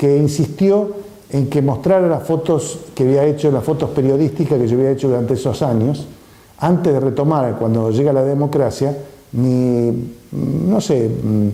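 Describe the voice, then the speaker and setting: Pitched fairly high, a man speaks at a fairly slow pace with very even loudness. Audible room echo and noticeable background noise are present. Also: ordinary pitch variation. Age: 70s. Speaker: artist and photographer. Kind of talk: interview testimony. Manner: halting, many fillers.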